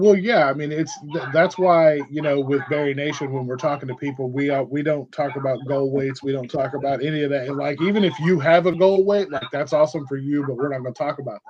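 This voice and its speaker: This man talks very fast, with hardly any pauses. His voice is fairly high, and his pitch varies in an ordinary way. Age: 40s. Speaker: bariatric community advocate. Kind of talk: casual chat. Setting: podcast.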